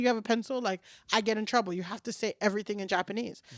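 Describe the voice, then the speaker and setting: On a very clean recording with a silent background, a woman speaks at a very fast pace in an animated tone. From New York City, Washington Heights; Dominican parents. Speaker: comedian. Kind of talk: casual chat.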